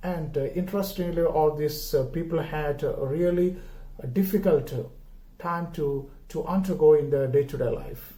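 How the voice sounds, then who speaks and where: Dark and mellow in tone, a voice with a Keralan accent moves at a moderate pace with fairly even intonation amid audible room echo. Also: man, high pitch for a man. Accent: Indian (Malayali) English. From India, Kerala. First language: Malayalam. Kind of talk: homily. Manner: halting, many filler words.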